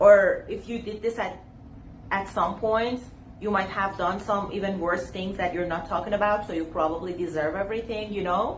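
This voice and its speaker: Audible room echo surrounds a woman speaking at a moderate pace. Her voice is medium in pitch, with fairly even intonation. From Iran. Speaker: YouTuber. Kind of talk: casual vlog talk to camera.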